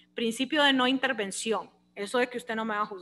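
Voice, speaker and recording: In a Honduran accent, a woman talks in an animated way, her high-pitched voice bright and sharp. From Honduras. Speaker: law lecturer. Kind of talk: lecture.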